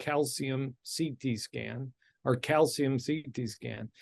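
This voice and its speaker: This man speaks with a Midwestern American accent. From US Midwest, suburban Detroit, Michigan. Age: 60s. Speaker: cardiologist. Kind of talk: interview.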